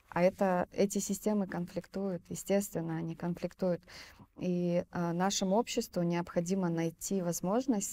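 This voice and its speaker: At a moderate pace, a woman talks in a fairly low pitch with a dark, mellow tone and fairly even intonation. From Fergana Valley, southern Kyrgyzstan; southern Kyrgyzstan. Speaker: film director and entrepreneur. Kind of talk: interview. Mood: calm, thoughtful. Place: studio. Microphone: lapel.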